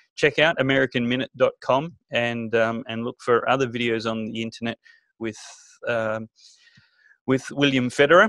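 A man with an Australian accent speaks at a moderate pace with ordinary pitch variation, his voice dry with no echo over a quiet background. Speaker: talk show host. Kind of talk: interview. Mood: warm, appreciative. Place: home room. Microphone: studio mic.

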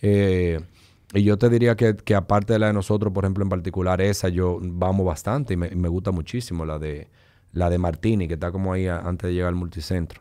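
A man with a very deep, low pitch and a dark, mellow tone, fairly even intonation, a fairly quick pace, and a quiet background. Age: 40s. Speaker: business executive; podcast guest. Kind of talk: casual chat. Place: studio. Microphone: studio mic.

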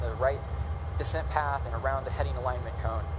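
The talking is very fast. Noticeable noise sits in the background. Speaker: presenter explaining shuttle landing. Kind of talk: narrated commentary over video. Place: stage.

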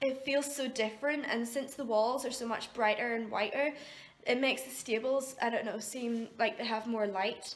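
A woman speaks at a fairly slow pace in a high-pitched voice. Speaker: horse owner vlogger. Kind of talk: casual vlog chat. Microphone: phone near.

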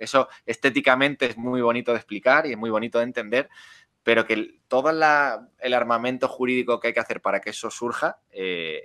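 The voice has a bright, sharp tone, a fairly quick pace and a dry, close sound with no echo. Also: man. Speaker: crypto lawyer and startup co-founder. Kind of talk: interview. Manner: fast.

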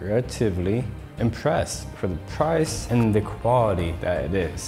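Faint background music plays while a man talks. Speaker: fitness vlogger. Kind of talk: casual vlog chat. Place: home room. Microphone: lapel.

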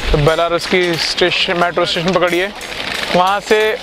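The moderately paced speech has a dry sound with no echo, along with noticeable background noise. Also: man. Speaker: travel vlogger. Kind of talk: casual vlog chat. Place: street. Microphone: phone near.

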